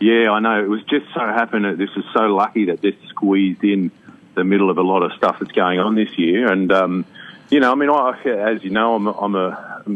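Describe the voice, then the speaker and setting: With an Australian accent, a man talks at a fairly quick pace. His pitch is fairly low, with ordinary variation. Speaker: actor and singer. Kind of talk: radio interview.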